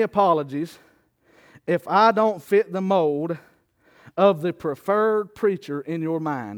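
Animated in tone, a man speaks at a high pitch with ordinary pitch variation. The sound is dry and close with no echo, and the background is quiet. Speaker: preacher. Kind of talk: sermon. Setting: church with congregation. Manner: call-and-response, exhortative, rhetorical questions to congregation; animated, preaching cadence with laughs and asides.

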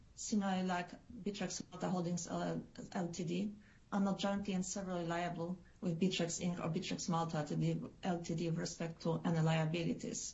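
Somewhat breathy and medium in pitch, a woman's voice carries fairly even intonation. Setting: video call.

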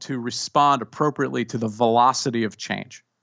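A man with an ordinary speaking voice, ordinary pitch variation and a moderate pace. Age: 50s. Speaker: executive coach and author. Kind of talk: interview.

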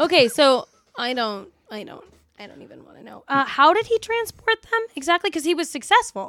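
A woman with an American accent speaks at a fairly quick pace in a high, bright, sharp tone, with very wide pitch swings, big swings in loudness and a dry, close sound with no echo. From New York, Long Island. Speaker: hair and makeup artist, podcast co-host. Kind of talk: casual chat.

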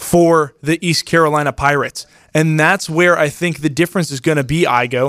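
An unremarkable speaking voice from a man, fairly high in pitch, at a moderate pace with fairly even intonation, in a very clean recording over a silent background. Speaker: sports analyst, co-host. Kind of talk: casual sports talk, picks.

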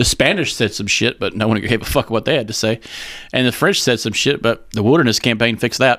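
In a normal speaking voice, a man with an American accent talks at a fairly quick pace. The recording is very clean, with a silent background. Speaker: podcast host. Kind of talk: casual banter comedic chat. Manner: profane, joking.

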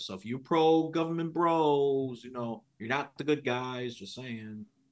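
A man with a New York accent and lively intonation, against a quiet background. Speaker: podcast guest, history buff. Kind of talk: casual political chat.

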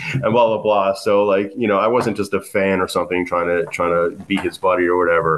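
A man's ordinary speaking voice with an American accent, fairly low in pitch, at a fairly quick pace with hardly any pauses, very even loudness and ordinary pitch variation. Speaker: punk musician. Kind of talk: casual chat. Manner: casual, filler-heavy.

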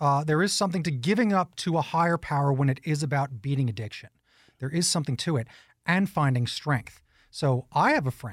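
A man with an American accent talks at a fairly quick pace in a fairly high, somewhat breathy voice with lively intonation, on a very clean recording with a silent background. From New York. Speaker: radio host. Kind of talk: interview.

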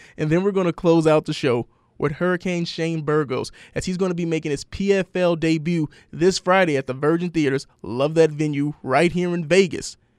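A man speaks in a plain, everyday voice at a fairly high pitch, with fairly even intonation and a moderate pace against a quiet background. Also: dry, close sound with no echo. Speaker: radio host. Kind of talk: radio interview show. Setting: radio studio.

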